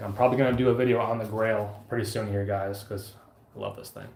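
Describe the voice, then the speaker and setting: Audible room echo surrounds a man speaking at medium pitch in a monotone, flat intonation. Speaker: outdoor gear YouTuber and occupational therapy assistant. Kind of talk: live stream chat. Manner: fast.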